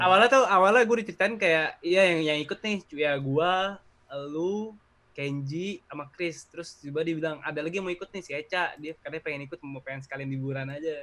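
The man's fairly high voice has a bright, sharp tone, moving at a fairly quick pace with ordinary pitch variation and big swings in loudness. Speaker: skateboarder and student. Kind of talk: casual chat.

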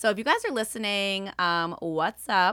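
Over a silent background in a very clean recording, a woman speaks fairly slowly with a bright, sharp tone and ordinary pitch variation. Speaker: podcast host. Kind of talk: casual chat.

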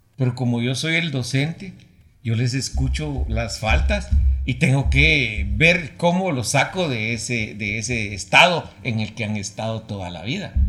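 A man at a fairly slow pace, medium pitch with very wide pitch swings, noticeable background noise. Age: 60s. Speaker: broadcasting professor. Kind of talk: interview. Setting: studio.

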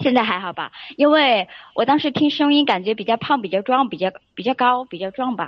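Delivery comes at a fairly quick pace with lively intonation. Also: woman, high pitch for a woman. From Sichuan, China. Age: 20s. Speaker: caller seeking relationship advice. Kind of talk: call-in advice chat. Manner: hesitant, many filler sounds.

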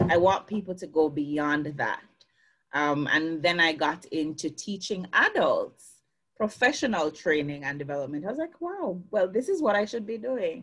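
A woman speaks with lively intonation. Her pitch sits fairly low. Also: moderate pace. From Jamaica, Clarendon parish. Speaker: success coach. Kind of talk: interview. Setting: video call.

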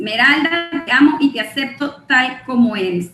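A woman's raised, projected, high-pitched voice at a fairly slow pace with lively intonation. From Guatemala. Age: 40s. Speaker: network marketing distributor and clinical psychologist. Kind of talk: motivational training talk.

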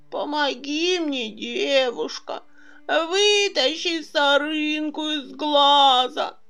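A woman's high-pitched voice at a very slow pace. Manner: pleading, complaining.

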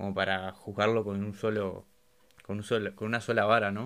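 Here a man speaks at a moderate pace in a fairly low pitch. His tone is bright and sharp. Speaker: podcast host. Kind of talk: casual chat. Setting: video call.

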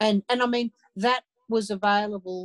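With an Australian accent, a woman talks in a medium pitch, the sound dry and close with no echo. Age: 60s. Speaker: abuse survivor and advocate. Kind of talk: interview.

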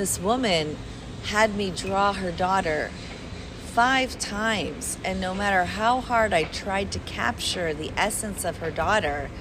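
Speaking at a fairly slow pace in an American accent, a woman with a medium pitch and ordinary pitch variation is heard through audible room echo and noticeable background noise. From Chicago. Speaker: caricaturist. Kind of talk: casual interview.

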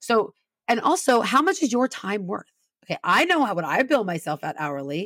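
A woman with an American accent speaks at a moderate pace, her pitch swinging very widely and her voice showing vocal fry. The sound is dry and close, with no echo. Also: fairly high pitch for a woman. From Southern California. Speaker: business certification consultant. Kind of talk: interview.

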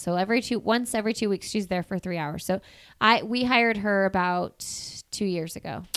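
A woman with a Midwestern US accent, on a very clean recording with a silent background. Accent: US Midwest. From Indiana, Bloomington. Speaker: podcast host. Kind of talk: casual chat.

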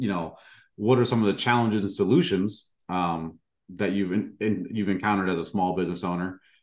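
Here is a man with an unremarkable speaking voice, fairly low in pitch with ordinary pitch variation. He talks at a moderate pace against a quiet background. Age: 40s. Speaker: podcast host. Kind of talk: interview.

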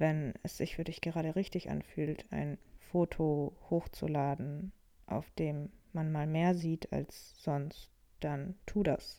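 A dark, mellow tone at a very slow pace, with fairly even intonation, on a very clean recording with a silent background. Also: woman, very deep, low pitch for a woman. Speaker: podcaster. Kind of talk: personal monologue. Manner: unstructured, thinking aloud.

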